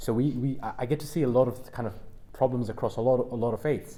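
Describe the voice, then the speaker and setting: A man speaks at a medium pitch with a dark, mellow tone. His pace is fairly quick. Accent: London. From London. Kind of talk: panel discussion. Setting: stage with audience at a university. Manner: halting.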